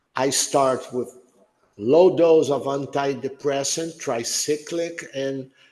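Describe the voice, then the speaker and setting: Over audible room echo, a man speaks at a very slow pace with a fairly high pitch. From Brazil. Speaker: neurologist. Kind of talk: lecture Q&A.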